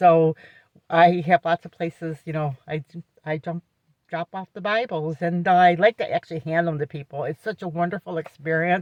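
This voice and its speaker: With an unremarkable speaking voice, a woman talks at a moderate pace, fairly low in pitch, with fairly even intonation and big swings in loudness. The sound is dry and close, with no echo. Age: 60s. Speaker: vlogger and caregiver for her husband. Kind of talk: casual vlog talk. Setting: in a car. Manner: conversational, with frequent fillers.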